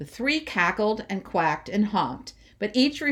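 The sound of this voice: The reading here comes in an unforced voice.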